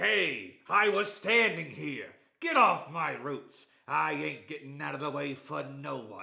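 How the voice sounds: A man puts on a character voice and pitches it fairly high. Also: fairly slow pace.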